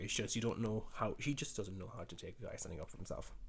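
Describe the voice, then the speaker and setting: A man with a rural Irish accent speaks very fast in a somewhat breathy voice. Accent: Irish country. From rural Ireland. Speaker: dating commentator. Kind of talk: video reaction commentary. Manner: animated.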